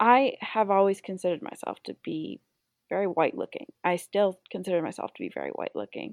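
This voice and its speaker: A woman at a fairly quick pace over a quiet background. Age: 20s. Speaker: esthetician and makeup artist. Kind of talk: interview.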